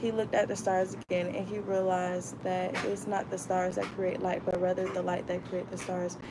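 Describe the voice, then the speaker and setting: With an American accent, a woman talks in a medium pitch and a monotone, flat intonation, amid noticeable background noise and audible room echo. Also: hardly any pauses. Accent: Florida accent, stronger when reading fast. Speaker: book club vlogger. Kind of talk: reading aloud.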